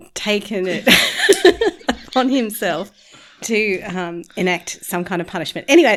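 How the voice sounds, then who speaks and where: Amid noticeable background noise, a woman speaks at a moderate pace and medium pitch with ordinary pitch variation and long, frequent pauses. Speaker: podcast host. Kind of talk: casual podcast interview.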